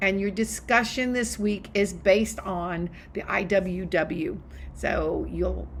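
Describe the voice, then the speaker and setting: A woman's very slow speech with audible room echo and noticeable background noise. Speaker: college history instructor. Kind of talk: recorded lecture to students. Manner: animated, enthusiastic.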